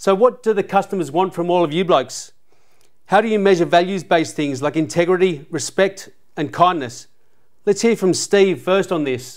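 Against a quiet background, a man with an Australian accent speaks at a moderate pace with a high pitch and ordinary pitch variation. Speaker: podcast host, former footballer; podcast host. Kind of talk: panel discussion. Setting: sports venue studio. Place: studio. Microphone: lapel.

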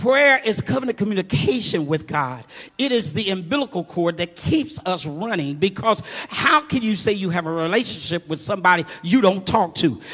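Moving at a moderate pace, a man speaks with very wide pitch swings. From Muncie, Indiana. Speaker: preacher giving a eulogy. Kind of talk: informal, call-and-response preaching. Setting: church funeral service. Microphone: handheld.

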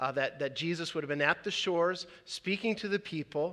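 Over a quiet background, a man speaks at a moderate pace in a bright, sharp tone with ordinary pitch variation. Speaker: pastor. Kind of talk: sermon. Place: church.

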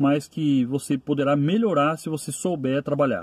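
A man at a moderate pace in a dry sound with no echo. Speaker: rideshare driver vlogger. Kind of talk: casual vlog advice. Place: car. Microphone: phone near.

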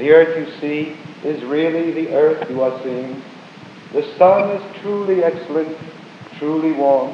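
Amid light background noise and audible room echo, a man with a fairly high pitch talks at a fairly slow pace, with fairly even intonation and long, frequent pauses. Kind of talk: poetry reading. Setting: live stage performance. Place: hall. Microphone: old recording.

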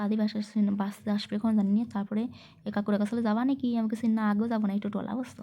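A woman speaks in a fairly high pitch with a dark, mellow, somewhat breathy tone and monotone, flat intonation. The recording is very clean, with a silent background. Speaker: lifestyle vlogger. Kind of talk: vlog narration. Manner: chatty, conversational.

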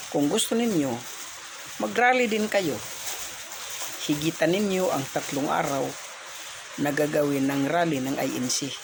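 A man speaks at a fairly slow pace with a fairly high pitch and very wide pitch swings. Long, frequent pauses break up his speech over noticeable background noise. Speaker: vlogger commentator. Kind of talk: angry rant. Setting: reacting to played video clips. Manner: loud, indignant, hammering rhetorical questions; defiant, scolding, sarcastic tone.

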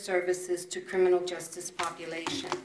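Audible room echo surrounds a woman as she talks. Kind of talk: prepared ceremonial speech. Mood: proud, formal. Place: meeting room. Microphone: podium.

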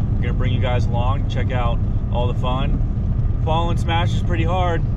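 A man talks at a moderate pace with a dry sound and no echo. Loud background noise fills the recording. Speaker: snowmobiling vlogger. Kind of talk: casual vlog chat. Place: car. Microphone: phone near.

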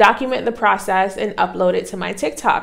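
Lively intonation carries over a quiet background. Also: woman. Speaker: vlogger. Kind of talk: casual vlog chat. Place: home room. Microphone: lapel.

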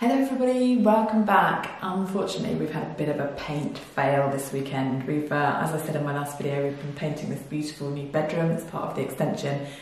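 Lively intonation carries through audible room echo. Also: woman, very deep, low pitch for a woman. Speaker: DIY home renovation vlogger. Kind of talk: casual talk to camera. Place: empty room. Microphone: camera far.

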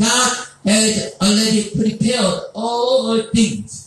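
A man speaks at a high pitch, and his voice carries a strong room echo. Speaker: preacher at a seminar. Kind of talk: sermon. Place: hall.

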